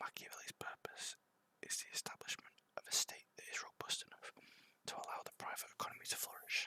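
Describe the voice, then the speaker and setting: A man whispers at a very fast pace. The sound is dry and close, with no echo. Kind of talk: ASMR book reading. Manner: whispered.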